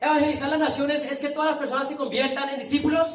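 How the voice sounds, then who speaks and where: A man with a Colombian accent speaks at an extremely high pitch, with audible room echo around him. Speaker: preacher. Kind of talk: sermon. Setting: church with congregation.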